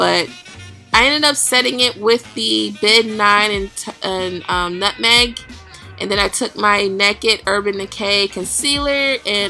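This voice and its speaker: The speech moves at a fairly slow pace, with music in the background. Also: woman. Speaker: makeup vlogger. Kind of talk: makeup tutorial voice-over. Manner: casual, chatty.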